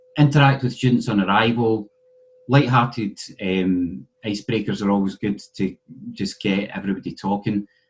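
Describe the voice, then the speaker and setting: A man's fairly low voice in a Scottish accent. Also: ordinary pitch variation, moderate pace. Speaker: university lecturer. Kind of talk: conference presentation.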